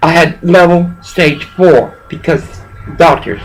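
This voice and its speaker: A woman speaks with a Southern US accent. There is noticeable background noise. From US South. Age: 60s. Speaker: pastor. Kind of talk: phone call complaint.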